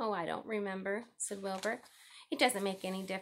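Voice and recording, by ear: Someone reads aloud. The voice sounds natural.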